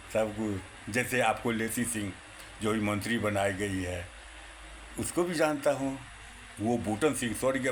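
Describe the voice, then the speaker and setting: Noticeable background noise and audible room echo surround a man's voice. He has a medium pitch and an animated tone. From India, Bihar, Purnia. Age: 60s. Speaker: retired Congress supporter. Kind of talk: political monologue. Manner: animated, repetitive.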